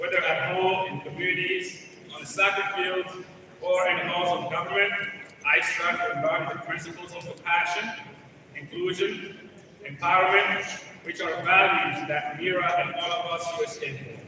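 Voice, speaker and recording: A man speaks at a high pitch with fairly even intonation but big swings in loudness. There is noticeable background noise and audible room echo. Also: moderate pace. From Gabon. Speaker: political director and event MC. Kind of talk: ceremonial speech. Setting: stage with audience at the state house. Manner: formal.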